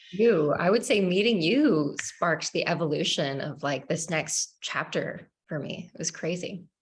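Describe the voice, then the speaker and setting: A woman talks at a fairly slow pace with lively intonation. Her voice is somewhat breathy. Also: fairly low pitch for a woman. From Canada. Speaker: nutrition expert. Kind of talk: casual interview conversation.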